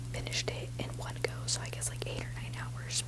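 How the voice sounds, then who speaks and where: A woman whispers at a moderate pace. There is noticeable background noise behind her. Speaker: ASMR creator. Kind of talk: casual ASMR ramble. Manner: whispered.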